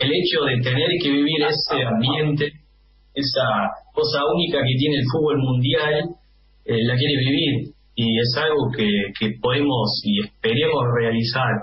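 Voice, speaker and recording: In an Argentine accent, a man speaks fairly slowly at a fairly high pitch with ordinary pitch variation and very even loudness, amid light background noise and audible room echo. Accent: fluent Argentine-sounding Spanish. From Netherlands. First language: Dutch (speaking Spanish). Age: 20s. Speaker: football fan club organizer; interviewee. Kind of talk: interview. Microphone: video call.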